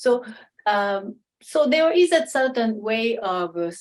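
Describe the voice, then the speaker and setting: Using a normal speaking voice, a woman talks at a fairly slow pace with a fairly high pitch and lively intonation. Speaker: kimono and Japanese culture expert. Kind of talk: Q&A talk at an online salon.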